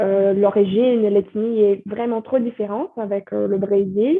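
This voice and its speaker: A woman with a Brazilian accent speaks at a fairly slow pace. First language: Portuguese (speaking French). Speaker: French teacher and content creator. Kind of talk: podcast interview. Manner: hesitant, many fillers.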